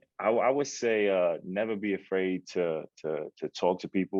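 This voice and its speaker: With a New York accent, this man speaks in a very deep, low voice. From Queens, New York. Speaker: actor and entrepreneur. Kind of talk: podcast interview.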